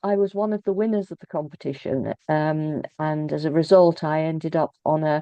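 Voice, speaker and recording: A woman with a British accent and a fairly low pitch speaks at a moderate pace with ordinary pitch variation and hardly any pauses. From England, Birmingham. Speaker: author and poet. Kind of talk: interview. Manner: halting, many fillers and repeats.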